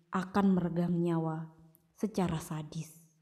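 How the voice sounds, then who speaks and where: The tone is dramatic and intense, dark and mellow, and somewhat breathy. The pace is fairly slow. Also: woman. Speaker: audiobook narrator. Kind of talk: dramatic story narration, audiobook style, with character dialogue. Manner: dramatic, intense, solemn tone building suspense; animated, voicing different characters.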